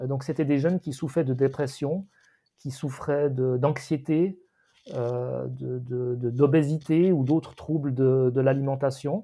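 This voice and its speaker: The man's pitch is fairly high, with fairly even intonation. He talks at a very slow pace. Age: 50s. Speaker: podcast co-host. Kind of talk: casual discussion. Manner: halting.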